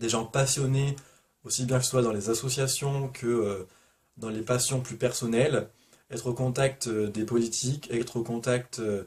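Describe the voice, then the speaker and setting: A man speaks at medium pitch and a fairly slow pace. His voice is somewhat breathy, with monotone, flat intonation. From Provence, southern France. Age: 20s. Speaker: booktuber. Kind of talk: casual vlog Q&A.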